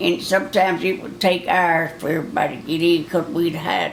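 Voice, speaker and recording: A woman talks in a Southern US accent at a moderate pace. Her pitch is fairly low, and there is noticeable background noise. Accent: rural Southern American. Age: 70s. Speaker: grandmother. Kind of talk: interview answer. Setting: home recording for a time capsule project.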